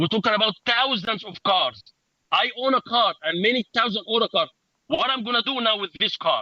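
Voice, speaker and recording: Projecting his voice, a man speaks at a moderate pace in a high pitch with a bright, sharp tone. The sound is dry and close, with no echo. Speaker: rideshare driver. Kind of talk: press conference speech. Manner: loud; halting.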